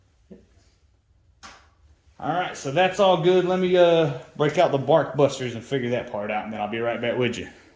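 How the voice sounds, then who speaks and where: A man with a fairly high pitch and lively intonation talks at a moderate pace, with big swings in loudness and long, frequent pauses, in audible room echo. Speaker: motorcycle DIY vlogger. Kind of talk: tutorial.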